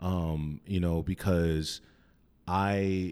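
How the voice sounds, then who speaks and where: The voice has an American accent and fairly even intonation. The recording is very clean, with a silent background. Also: man. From Wyoming (Cheyenne), partly Arizona. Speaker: artist, photographer and filmmaker. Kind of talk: casual interview chat.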